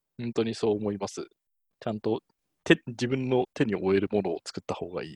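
A man with an ordinary speaking voice, medium pitch and ordinary pitch variation, fairly quick pace with big swings in loudness, dry, close sound with no echo over a quiet background. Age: 30s. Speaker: test engineer. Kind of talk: casual chat.

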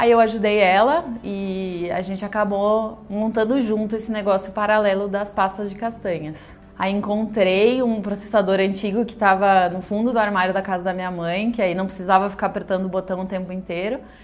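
A woman with an unremarkable speaking voice, medium pitch, moderate pace and fairly even intonation. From Rio Grande do Sul, Brazil. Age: 30s. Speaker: entrepreneur, confectionery owner. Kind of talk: personal testimony.

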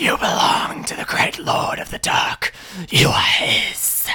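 A whispered, put-on character voice at a fairly slow pace. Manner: menacing, sinister.

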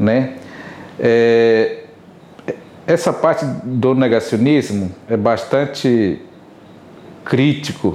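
Noticeable background noise sits under a man speaking at a medium pitch with ordinary pitch variation. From Rio Isana, Amazonas, Brazil. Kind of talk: interview.

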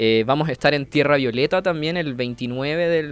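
A man speaks at a fairly slow pace, his pitch fairly high and its variation ordinary. It is a normal speaking voice over a quiet background. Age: 20s. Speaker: climate activist and engineer. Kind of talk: radio interview.

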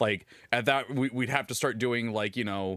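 There is no background sound at all on this very clean recording of a man talking. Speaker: podcast host. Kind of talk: casual chat. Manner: loud.

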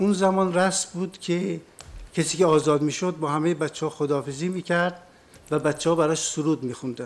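A man uses an ordinary speaking voice at a fairly quick pace. His pitch is fairly high, and his intonation stays fairly even. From northern Iran, Lahijan, then Tehran. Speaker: witness, former political prisoner. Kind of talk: court testimony. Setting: courtroom.

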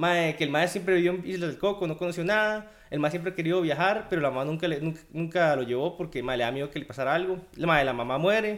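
A man with a Costa Rican accent talks at a very fast pace with hardly any pauses. His pitch is high, with ordinary variation. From Costa Rica, Guadalajara. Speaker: pixel artist. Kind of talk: casual chat.

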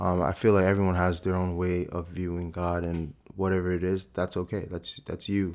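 With a New Jersey accent, a man speaks in a monotone, flat intonation at a very deep, low pitch and a moderate pace, with hardly any pauses, on a very clean recording with a silent background. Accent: New Jersey American. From US Northeast (South Orange, New Jersey). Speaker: actor. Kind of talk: interview. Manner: casual, hesitant with many fillers.

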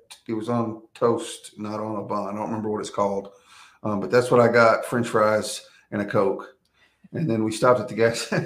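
With an American accent and a normal speaking voice, the speaker goes at a moderate pace, keeping fairly even intonation while the loudness swings a lot. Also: man, medium pitch for a man. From Texas. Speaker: former prisoner turned prison minister. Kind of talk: testimony.

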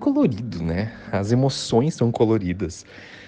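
The man's voice has a dark, mellow tone. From Santa Catarina interior, Brazil. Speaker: wedding photographer. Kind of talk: interview. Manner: halting.

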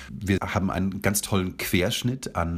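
This man's voice carries vocal fry. He talks at a moderate pace. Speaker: festival director and beatboxer. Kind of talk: radio interview. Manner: enthusiastic, with frequent fillers.

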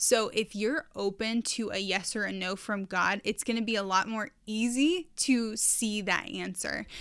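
Recorded very cleanly over a silent background, a woman with a bright, sharp tone, medium pitch and ordinary pitch variation speaks at a fairly slow pace. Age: 20s. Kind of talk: casual devotional talk.

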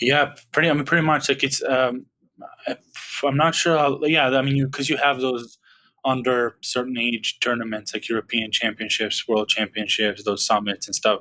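A man with a bright, sharp tone speaks at a moderate pace, with medium pitch and ordinary pitch variation. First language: Serbian. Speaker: basketball podcaster. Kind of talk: casual chat.

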